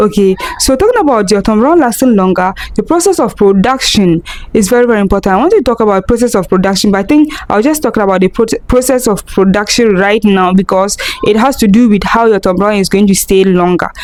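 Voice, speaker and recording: Against noticeable background noise, a woman talks at a very fast pace with a fairly high pitch. Her loudness stays very even, and her pitch varies in an ordinary way. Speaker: food business vlogger. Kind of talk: tutorial. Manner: soft-spoken.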